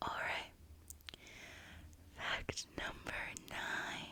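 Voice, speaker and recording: A woman is whispering. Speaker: ASMR creator. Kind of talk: ASMR whispered fact narration. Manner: soft, whispered, relaxing.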